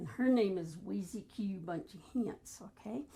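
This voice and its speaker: A woman's medium-pitched voice with vocal fry, a dark, mellow tone, lively intonation and a fairly slow pace. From US, military family moving around (Memphis, Hawaii, Rhode Island). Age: 70s. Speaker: grandmother sharing life stories. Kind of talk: casual interview chat.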